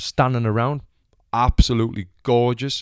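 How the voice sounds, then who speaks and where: Speaking at a fairly slow pace, a man with a Sunderland accent and a medium pitch comes through dry and close with no echo on a very clean recording with a silent background. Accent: Sunderland (Mackem). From northern England, Sunderland. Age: 20s. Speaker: podcast host, former boxer and gym owner. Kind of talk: casual monologue. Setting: home recording. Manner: animated.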